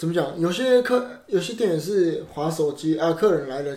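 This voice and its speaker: A man speaks fairly slowly at a fairly high pitch, his intonation lively. Audible room echo and noticeable background noise fill the recording. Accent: Japanese. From Osaka, Japan. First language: Japanese (speaking Chinese). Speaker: actor. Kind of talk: casual chat.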